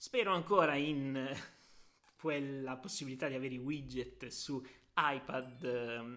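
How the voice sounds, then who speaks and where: A man's bright, sharp tone sits at a fairly high pitch as he talks at a fairly slow pace. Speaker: tech podcaster and writer. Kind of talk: casual solo podcast. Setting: sitting at a desk. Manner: relaxed, natural.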